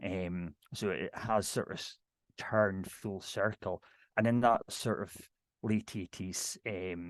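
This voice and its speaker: Over a quiet background, a man speaks with a strong Scottish Highland accent and a fairly low pitch. His intonation is fairly even, and the sound is dry and close with no echo. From Scottish Highlands, near Inverness. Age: 50s. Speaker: ceilidh dance caller. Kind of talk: casual talk on video call. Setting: video call. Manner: fast.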